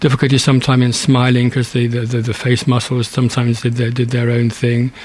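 A man at a medium pitch can be heard with noticeable background noise around him. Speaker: charity branch chairman with Parkinson's. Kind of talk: interview. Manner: halting, stammering.

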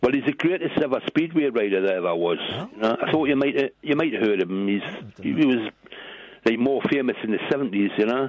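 In a strong British accent, a man of medium pitch talks at a very fast pace with lively intonation. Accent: strong regional British. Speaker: caller. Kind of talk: casual chat. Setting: phone call.

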